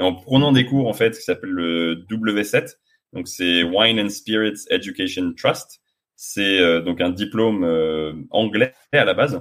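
Very slow speech from a man shows ordinary pitch variation. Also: fairly low pitch for a man. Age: 30s. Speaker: sommelier, sales director. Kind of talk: casual interview. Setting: outdoors in the sun.

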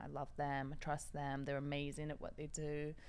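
This woman's voice is very deep. Her pitch sits low. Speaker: makeup artist and reality show winner. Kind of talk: casual chat.

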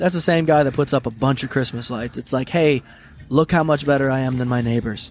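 A plain, everyday voice at a fairly quick pace, with fairly even intonation. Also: man. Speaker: podcast co-host. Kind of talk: casual banter podcast chat. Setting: remote recording over call software. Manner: profane, laughs often.

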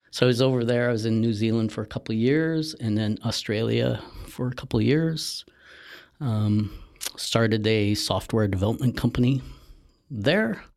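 This man speaks with a Canadian accent and an ordinary speaking voice. His pitch is medium, with ordinary variation. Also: moderate pace. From Northern Ontario, Canada. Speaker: marketing agency partner, former forester. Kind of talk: casual interview.

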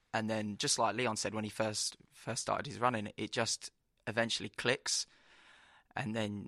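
A man's fairly low voice in a London accent, monotone and flat, bright and sharp in tone at a moderate pace, dry and close with no echo in a very clean recording with a silent background. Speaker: track runner. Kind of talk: interview. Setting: expo studio.

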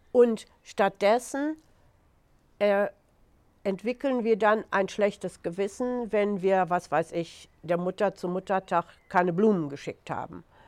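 Recorded very cleanly with a silent background and a dry, close sound with no echo, a woman speaks at a very slow pace with long, frequent pauses, a medium pitch and ordinary pitch variation. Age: 70s. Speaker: author. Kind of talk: interview. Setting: outdoors.

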